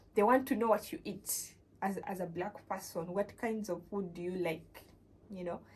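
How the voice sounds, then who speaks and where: Noticeable background noise accompanies a woman speaking at a medium pitch and a moderate pace. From Uganda. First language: not English. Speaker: vlogger. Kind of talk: casual vlog talk. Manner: halting, many fillers.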